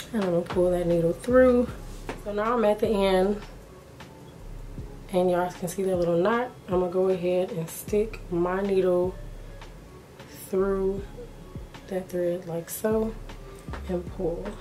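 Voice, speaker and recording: With music in the background and audible room echo, the speech moves at a fairly slow pace, with long, frequent pauses and fairly even intonation. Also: woman, medium pitch for a woman. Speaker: beauty YouTuber. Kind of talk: tutorial.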